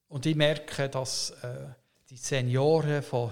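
At a very slow pace, a man speaks in a somewhat breathy voice with fairly even intonation. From Canada. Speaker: pastor. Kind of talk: interview conversation. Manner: halting, many hesitations.

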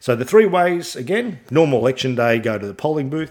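With an Australian accent, a man talks in a lively, bouncing intonation. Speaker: podcast host. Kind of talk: solo podcast monologue about politics. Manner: informative, somewhat halting with fillers.

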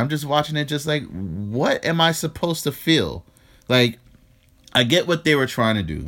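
With a New York accent, a man speaks at a moderate pace using very wide pitch swings. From New York, the Bronx. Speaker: podcast co-host. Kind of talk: casual chat.

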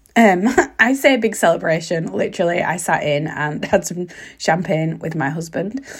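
Somewhat breathy, a woman with a fairly low pitch talks at a moderate pace with lively intonation. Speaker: podcast host. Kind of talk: casual solo podcast talk. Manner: hesitant, lots of ums.

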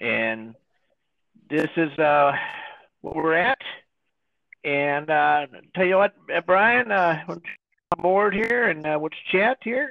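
A man with an American accent, high-pitched, very slow, with very wide pitch swings and long, frequent pauses. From northern US near Canadian border, rural. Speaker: podcast host. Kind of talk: casual chat. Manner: halting, many fillers and repetitions.

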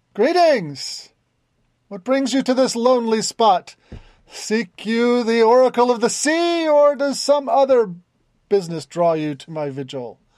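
Over a quiet background, a man puts on a character voice pitched extremely high. He keeps a moderate pace. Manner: welcoming, formal.

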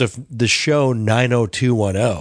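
Recorded dry and close with no echo against a quiet background, a man speaks at a medium pitch. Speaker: podcast co-host. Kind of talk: casual chat. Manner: loud.

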